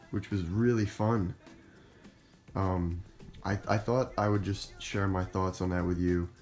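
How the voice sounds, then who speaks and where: A man speaks with fairly even intonation while faint music plays in the background. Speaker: cosplayer vlogger. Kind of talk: casual vlog chat. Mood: happy, reflective. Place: home room. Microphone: phone near.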